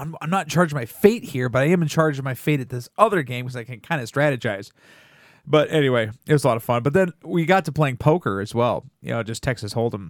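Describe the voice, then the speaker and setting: Animated and very fast, a man speaks with lively intonation, a fairly high pitch and big swings in loudness. The recording is very clean with a silent background. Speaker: podcast host. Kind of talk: casual comedy chat. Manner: animated, joking.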